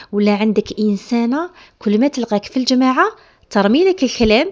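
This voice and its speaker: Moderate pace in an Algerian accent, with a dry, close sound and no echo. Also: woman. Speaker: home lifestyle vlogger. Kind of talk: casual advice talk to camera.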